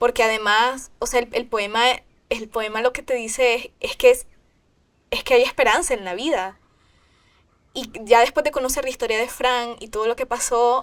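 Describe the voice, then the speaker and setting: This woman has a high pitch and fairly even intonation. Her pace is moderate, broken by long, frequent pauses. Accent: Nicaraguan. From Nicaragua, Managua. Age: 20s. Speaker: singer-songwriter. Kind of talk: interview. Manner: halting.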